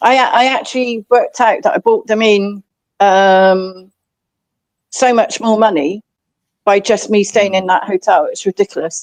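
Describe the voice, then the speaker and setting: Speaking at a fairly slow pace, a woman with a fairly high pitch and ordinary pitch variation leaves long, frequent pauses. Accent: English. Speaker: livestream host. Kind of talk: casual chat.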